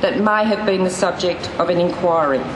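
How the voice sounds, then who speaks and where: A woman speaks over noticeable background noise. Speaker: politician. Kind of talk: political rally speech. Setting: outdoors.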